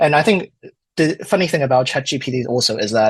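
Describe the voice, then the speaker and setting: With a non-native accent, a man speaks at a fairly quick pace in a somewhat breathy voice of medium pitch. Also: dry, close sound with no echo. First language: not English. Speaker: wine diploma graduate and study group moderator. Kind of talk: podcast interview. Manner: hesitant, many fillers.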